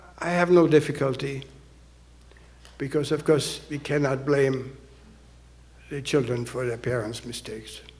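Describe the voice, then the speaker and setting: At a moderate pace, a man with a fairly high pitch speaks with fairly even intonation and long, frequent pauses. His loudness swings widely, and room echo is audible. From Austria (Vienna). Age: 80s+. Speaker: Holocaust survivor speaker. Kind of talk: audience Q&A.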